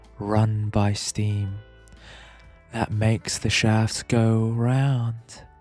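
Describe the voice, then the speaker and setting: Over background music, a man speaks at a fairly low pitch with monotone, flat intonation. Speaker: ASMR streamer, VTuber. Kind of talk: poetry reading. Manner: slow, soft-spoken.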